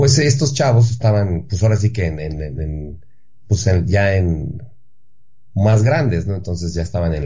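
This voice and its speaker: In a room with audible echo, a man with a fairly low, somewhat breathy voice speaks at a fairly slow pace with lively intonation. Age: 30s. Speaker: actor, son of a film star. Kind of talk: radio interview.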